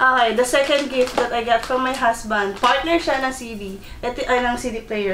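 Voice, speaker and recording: The speaker talks at a fairly quick pace with ordinary pitch variation. Room echo and light background noise are audible. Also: woman. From Philippines. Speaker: vlogger. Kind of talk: casual unboxing vlog. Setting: bedroom at home. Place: home room.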